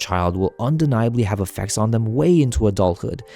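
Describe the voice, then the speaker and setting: Over music in the background, a man talks at a very fast pace. His pitch is fairly low. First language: not English. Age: 20s. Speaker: gaming video essayist. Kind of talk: scripted narration.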